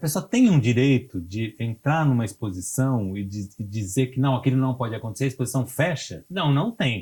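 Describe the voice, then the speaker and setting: A somewhat breathy voice with a dark, mellow tone talks at a moderate pace in a very clean recording with a silent background. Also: man. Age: 60s. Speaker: cultural producer and musician. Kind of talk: interview. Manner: halting, many fillers.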